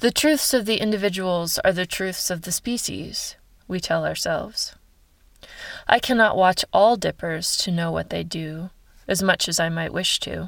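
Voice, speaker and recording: A woman with a plain, everyday voice and an American accent speaks at a medium pitch on a very clean recording with a silent background. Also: ordinary pitch variation, moderate pace. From Ohio. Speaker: writer and science communicator. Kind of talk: reading aloud.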